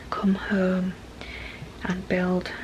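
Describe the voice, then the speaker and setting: A soft-spoken woman talks with a British accent over noticeable background noise. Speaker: vlogger, mum. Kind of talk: casual vlog talk. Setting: at home. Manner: quiet, talking softly.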